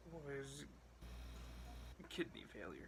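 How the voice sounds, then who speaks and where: Soft-spoken and very slow, a man talks in a space with audible room echo. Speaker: vlogger. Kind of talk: personal vlog. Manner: soft-spoken, quiet; hesitant, many fillers.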